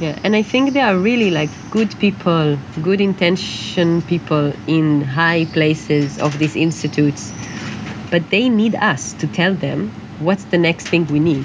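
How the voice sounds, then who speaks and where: With an Israeli accent, a woman at a fairly low pitch talks at a fairly slow pace with lively intonation and very even loudness over noticeable background noise. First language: Hebrew. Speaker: dancer. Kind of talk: interview. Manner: halting.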